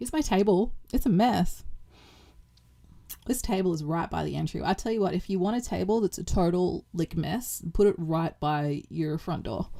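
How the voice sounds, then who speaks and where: A woman's fairly low voice with a dark, mellow tone, vocal fry and lively intonation. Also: moderate pace. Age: 40s. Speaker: cleaning vlogger and mother. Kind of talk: casual chat. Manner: chatty, rambling with fillers.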